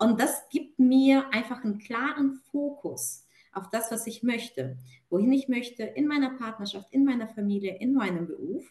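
Here is a woman with a high pitch and ordinary pitch variation. She speaks at a moderate pace. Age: 30s. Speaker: client and corporate manager. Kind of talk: testimony. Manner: hesitant with fillers.

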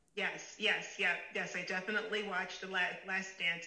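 Speaking in a Chicago accent at a moderate pace, a medium-pitched woman keeps a monotone, flat intonation amid audible room echo and noticeable background noise. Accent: Chicago American. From US Midwest, Chicago suburbs. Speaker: fashion executive. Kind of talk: interview.

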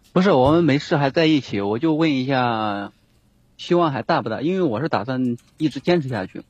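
With an unremarkable speaking voice, a man of fairly high pitch speaks at a fairly quick pace with lively intonation, the sound dry and close with no echo. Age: 30s. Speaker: caller seeking relationship advice. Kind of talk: call-in advice conversation.

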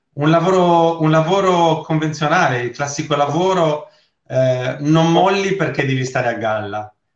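A man speaks at a fairly slow pace with a somewhat breathy voice. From Sardinia. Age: 40s. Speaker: network marketing seller. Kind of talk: interview testimony. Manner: halting, repeats words.

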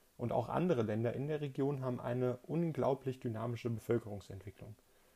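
Somewhat breathy and dark, mellow in tone, a man's voice sits at medium pitch with fairly even intonation. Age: 20s. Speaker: podcast host, politics student. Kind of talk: solo podcast monologue, scripted. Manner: formal.

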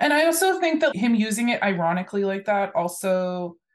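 This woman has a normal speaking voice and lively intonation. She talks at a moderate pace. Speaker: podcast co-host and researcher. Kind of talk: casual chat.

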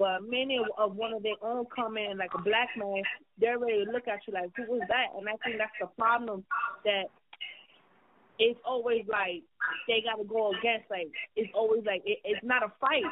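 Fairly even intonation at a moderate pace. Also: woman, fairly high pitch for a woman.

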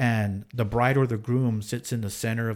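A man's plain, everyday voice with an American accent, a medium pitch, a moderate pace and fairly even intonation. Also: very clean recording, silent background. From Texas, San Angelo. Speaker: radio DJ. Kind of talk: casual chat. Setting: studio.

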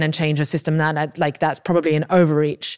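The recording is very clean, with a silent background. A woman with an English accent talks at a fairly quick pace and a fairly low pitch. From England. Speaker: podcast host. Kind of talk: interview conversation.

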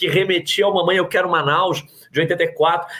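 A man with a Carioca accent talks at a fairly slow pace in a high voice, with noticeable background noise. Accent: carioca Brazilian Portuguese. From Rio de Janeiro, Zona Oeste (Jacarepaguá). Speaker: journalist and writer. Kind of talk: casual interview.

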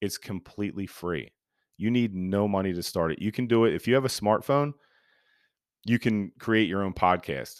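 A man speaks at a moderate pace and a fairly low pitch with ordinary pitch variation, his sound dry and close with no echo on a very clean recording with a silent background. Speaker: podcast host. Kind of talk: casual solo talk. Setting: home recording. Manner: hesitant, many filler words.

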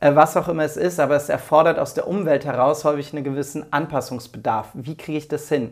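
The speech moves at a fairly quick pace with fairly even intonation on a very clean recording with a silent background. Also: man. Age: 40s. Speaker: entrepreneur and management consultant. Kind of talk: casual interview. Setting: in person at host's home. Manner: hesitant with fillers.

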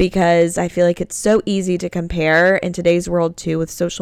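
A woman's fairly low-pitched voice moves at a moderate pace. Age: 20s. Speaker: podcast host. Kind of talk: casual monologue. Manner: animated.

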